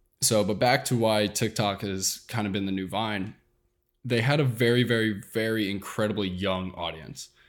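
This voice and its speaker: A normal speaking voice from a man, fairly low in pitch, with ordinary pitch variation at a moderate pace, on a very clean recording with a silent background. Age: 20s. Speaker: social media content creator. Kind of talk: casual interview.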